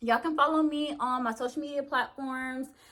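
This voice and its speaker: A woman speaks at a high pitch. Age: 20s. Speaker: YouTuber. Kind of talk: casual vlog talk. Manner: casual, hesitant with fillers.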